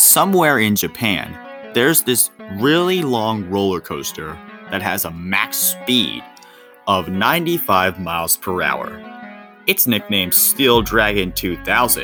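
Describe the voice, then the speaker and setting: Loud speech with very wide pitch swings moves at a fairly slow pace over music in the background. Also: man, fairly low pitch for a man. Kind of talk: scripted countdown narration. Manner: slow, loud.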